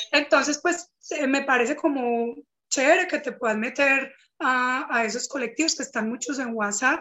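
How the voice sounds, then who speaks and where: A woman's high-pitched voice at a moderate pace. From Colombia, Eje Cafetero. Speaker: artisan entrepreneur. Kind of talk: casual interview.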